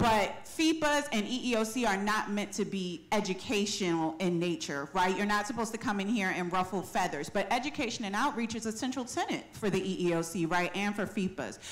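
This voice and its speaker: Against noticeable background noise, a woman at medium pitch talks at a fairly quick pace with lively intonation and hardly any pauses. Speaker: audience member asking a question; civil rights education director. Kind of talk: audience question at panel. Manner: fast.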